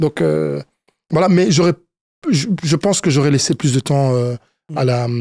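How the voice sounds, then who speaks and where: In a dry, close recording with no echo, a man with a fairly high pitch and a dark, mellow tone speaks at a fairly slow pace, with ordinary pitch variation and long, frequent pauses. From Congo. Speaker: youth football coach. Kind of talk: interview. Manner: halting, many fillers.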